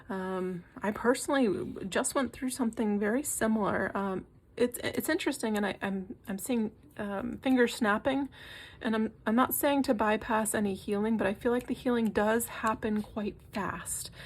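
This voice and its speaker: Somewhat breathy, the voice moves at a moderate pace with ordinary pitch variation, recorded very cleanly against a silent background. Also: woman, fairly high pitch for a woman. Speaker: tarot reader. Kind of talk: tarot reading. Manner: halting, many fillers and repeats.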